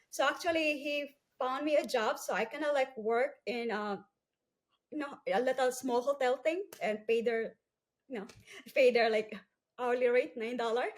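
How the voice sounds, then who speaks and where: A woman with a Filipino accent speaks at a moderate pace in a high voice with ordinary pitch variation, leaving long, frequent pauses. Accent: Filipino-accented English, non-fluent. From Philippines, Cebu island. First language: Cebuano/Filipino. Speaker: entrepreneur. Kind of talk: interview testimony.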